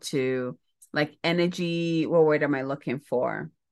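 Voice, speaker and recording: Against a quiet background, a woman with a Ghanaian accent speaks at a fairly slow pace with a very deep, low pitch. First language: Ghanaian language. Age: 40s. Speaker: spiritual mentor and podcast host. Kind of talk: casual solo monologue.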